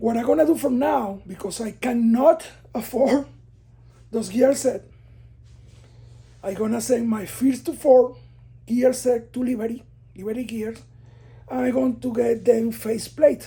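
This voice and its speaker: With long, frequent pauses, a woman speaks in a fairly high pitch with a non-native accent. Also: ordinary pitch variation, fairly slow pace. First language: not English. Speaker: car enthusiast building an engine, video creator. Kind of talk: casual tutorial walkthrough. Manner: hesitant, many fillers and repeats.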